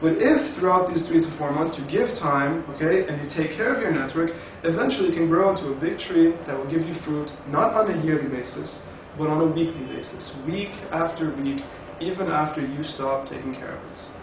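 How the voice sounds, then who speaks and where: A man talks at a fairly quick pace with ordinary pitch variation. Light background noise and audible room echo surround the voice. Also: fairly high pitch for a man. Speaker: network marketing presenter. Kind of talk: sales pitch. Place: home room. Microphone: camera far.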